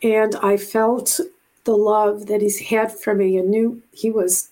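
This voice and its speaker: With an American accent, a woman talks at a medium pitch. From Buffalo, New York. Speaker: retired navy officer and animal communicator. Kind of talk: interview conversation.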